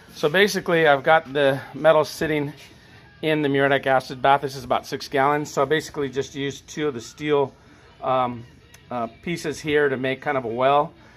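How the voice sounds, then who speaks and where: Fairly even intonation at a fairly quick pace, with faint music in the background. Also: man. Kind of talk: tutorial. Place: garage. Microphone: phone near.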